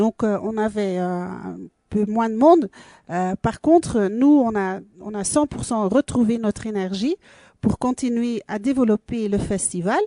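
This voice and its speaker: A woman with a Belgian accent speaks at a fairly slow pace in a dark, mellow tone, her pitch fairly high and her pitch variation ordinary, against a quiet background. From Belgium. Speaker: dance school and festival organizer. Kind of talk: radio interview. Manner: halting, many fillers.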